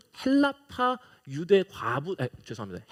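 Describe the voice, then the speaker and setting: A man is talking. His pitch rises and falls across a very wide range. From South Korea, Icheon. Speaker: pastor. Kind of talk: sermon. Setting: church.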